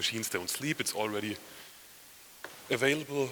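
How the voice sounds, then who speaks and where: Against noticeable background noise, a man with a German accent speaks at a fairly quick pace with fairly even intonation. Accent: non-native English, German. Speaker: software company head, conference speaker. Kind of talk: conference talk. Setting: conference session with audience.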